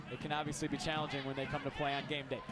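A man in a dramatic tone, with noticeable background noise. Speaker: sports commentator. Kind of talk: live sports commentary. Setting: match highlights video, stadium broadcast. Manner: excitable, dramatic on goals.

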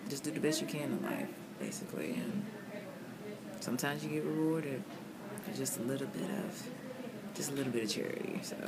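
The woman talks very fast while loud background noise runs behind her. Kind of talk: casual vlog chat. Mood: reflective, a bit loopy. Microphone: phone near.

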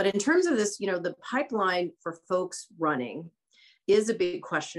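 A woman with an American accent speaks at a moderate pace over a quiet background. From US Midwest, small-town Iowa. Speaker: LGBTQ rights advocate. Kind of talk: panel discussion. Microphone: video call.

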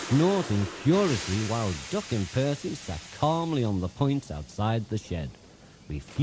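The speaker uses a natural reading voice.

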